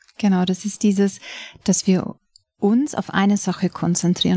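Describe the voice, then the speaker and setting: In a very clean recording with a silent background, a woman sounds somewhat breathy, the sound dry and close with no echo. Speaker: yoga and meditation teacher. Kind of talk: guided meditation. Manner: slow, calm, soothing, with long pauses; soft-spoken, measured counting.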